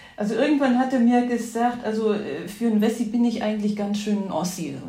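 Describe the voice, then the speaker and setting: Over noticeable background noise and audible room echo, a woman of medium pitch talks at a very fast pace. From East Germany, Erzgebirge (Saxony). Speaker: politician's partner. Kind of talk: interview conversation. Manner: hesitant, many fillers.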